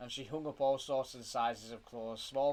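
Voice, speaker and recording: In a British accent, the speaker goes at a moderate pace with monotone, flat intonation. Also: man. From UK. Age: 20s. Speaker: father reading to his child. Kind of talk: reading aloud.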